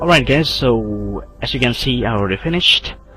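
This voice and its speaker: Against noticeable background noise, a man with an Indonesian accent talks at a moderate pace. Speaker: video editing tutorial maker. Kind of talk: tutorial. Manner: halting.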